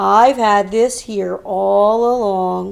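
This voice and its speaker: A woman's put-on character voice at a medium pitch. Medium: read story.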